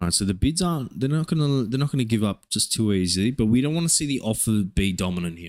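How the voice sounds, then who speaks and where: Speaking with an Australian accent, a man at a medium pitch sounds animated, his pitch swinging very widely as he races along at a very fast pace with hardly any pauses. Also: very clean recording, silent background. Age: 20s. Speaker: day trader streamer. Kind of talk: live trading stream commentary. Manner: casual, animated.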